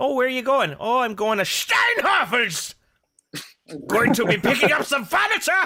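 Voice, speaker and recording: Someone talks at a moderate pace in a put-on character voice. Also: man, extremely high pitch for a man. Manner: exaggerated, mocking.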